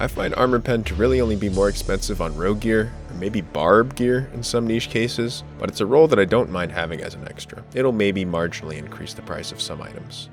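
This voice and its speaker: A man talks at a fairly quick pace with hardly any pauses, in a fairly low voice with lively intonation. His loudness swings a lot, and music plays in the background. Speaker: game guide creator. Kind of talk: video game guide narration. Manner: lethargic.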